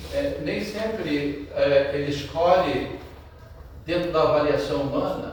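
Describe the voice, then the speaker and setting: A man talks at a very slow pace over noticeable background noise, with audible room echo. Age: 60s. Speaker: preacher. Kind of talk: sermon. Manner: halting.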